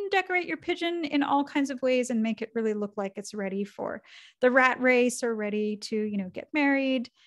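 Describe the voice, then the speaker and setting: A woman speaks at a high pitch and a fairly quick pace with ordinary pitch variation. The background is quiet. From Canada. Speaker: cartoonist and author. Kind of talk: lecture. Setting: video call. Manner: soft-spoken. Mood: lively, humorous. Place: home room.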